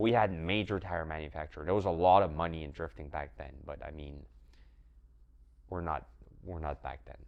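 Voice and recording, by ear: A man talks at a fairly quick pace with an extremely low pitch. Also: fairly even intonation.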